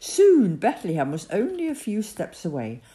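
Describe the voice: What you hear is a plain reading aloud of the text.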